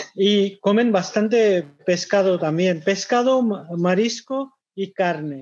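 A man speaks at a very slow pace. His pitch is high, with ordinary pitch variation. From India, Kolkata. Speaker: restaurant manager. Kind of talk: webinar talk.

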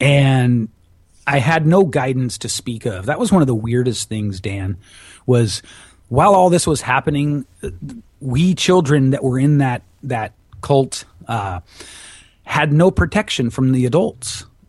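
Against a quiet background, a man with a medium pitch and somewhat breathy voice speaks at a fairly slow pace, with lively intonation and long, frequent pauses. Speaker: public speaking and voice coach. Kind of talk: interview. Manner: animated.

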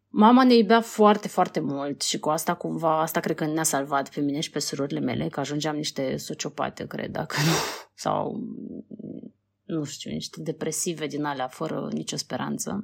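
Lively intonation and vocal fry at a moderate pace, on a very clean recording with a silent background. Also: woman, very deep, low pitch for a woman. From Moldova. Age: 30s. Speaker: documentary filmmaker. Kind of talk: interview.

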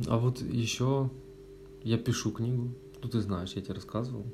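Medium-pitched male speech at a moderate pace, fairly even in intonation, with long, frequent pauses and noticeable background noise. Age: 20s. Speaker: podcast host. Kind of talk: casual chat. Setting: at a friend's home.

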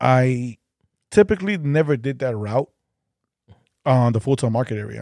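On a very clean recording with a silent background and a dry, close sound free of echo, a man with a Chicago accent speaks at a moderate pace in a dark, mellow, medium-pitched voice, with lively intonation and long, frequent pauses. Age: 40s. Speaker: podcast host. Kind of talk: casual chat.

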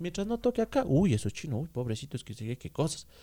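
On a very clean recording with a silent background, a man with a dark, mellow tone speaks with very wide pitch swings. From Ecuador, Ambato. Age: 20s. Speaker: podcast co-host stand-in. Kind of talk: casual chat.

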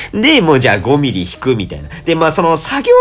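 Noticeable background noise sits under the recording. Over it, a man talks at a very fast pace. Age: 30s. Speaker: podcast host. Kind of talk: solo casual monologue while drinking. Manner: casual, chatty with fillers.

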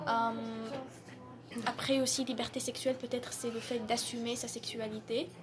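Her voice fairly high and her intonation monotone and flat, a woman talks at a fairly slow pace. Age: 20s. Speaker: university student. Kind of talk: casual discussion. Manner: halting, repeats words.

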